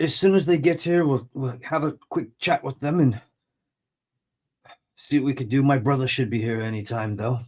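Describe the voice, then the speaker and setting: Putting on a gruff character voice, a man talks at a moderate pace and medium pitch with long, frequent pauses. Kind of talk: casual, businesslike.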